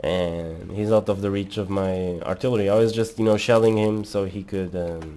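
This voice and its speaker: At a moderate pace, a man talks in a fairly low pitch with a dark, mellow tone and fairly even intonation. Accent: non-native. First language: not English. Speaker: gaming commentator. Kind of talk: live gameplay commentary. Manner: halting.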